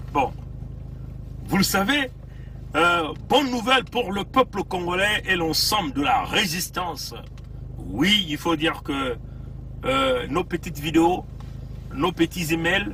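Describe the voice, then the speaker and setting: A man's high, very slow speech with lively intonation and long, frequent pauses over noticeable background noise. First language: Bembe (speaking French). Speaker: political activist livestreamer. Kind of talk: livestream commentary. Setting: in a car, outdoors in cold. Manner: hesitant, many fillers.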